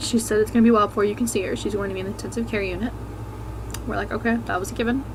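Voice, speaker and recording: A soft-spoken voice goes at a very fast pace, with audible room echo and noticeable background noise. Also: woman. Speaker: vlogger. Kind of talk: personal testimony vlog. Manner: quiet, speaking softly.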